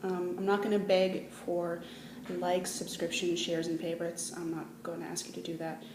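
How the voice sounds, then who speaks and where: A woman's fairly low voice in a Manitoban accent, fairly quick and with fairly even intonation, amid noticeable background noise and audible room echo. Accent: Canadian (Manitoba). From Canada, Manitoba. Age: 20s. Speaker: vlogger. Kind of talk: casual vlog.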